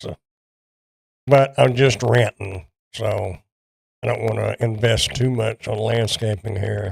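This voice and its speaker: In a Texan accent, a man at medium pitch speaks at a fairly slow pace with vocal fry, fairly even intonation and long, frequent pauses, in a dry, close sound with no echo. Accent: Texan Southern US. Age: 60s. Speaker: product reviewer. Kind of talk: casual livestream chat. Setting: livestream from home. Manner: halting.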